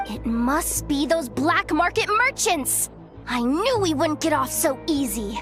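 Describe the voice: A woman puts on a character voice, high-pitched and fairly bright, with big pitch swings. She goes at a fairly slow pace while faint music plays in the background.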